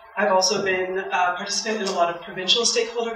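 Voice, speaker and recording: Speaking very fast with a Canadian accent, a woman uses a medium pitch and ordinary pitch variation. Noticeable background noise and audible room echo are present. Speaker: environmental campaigner. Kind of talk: public talk.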